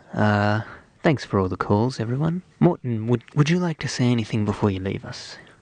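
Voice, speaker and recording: A man speaks with an Australian accent, and the sound is dry and close with no echo. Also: medium pitch for a man, moderate pace. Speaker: radio host. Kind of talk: comedic radio show. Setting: studio.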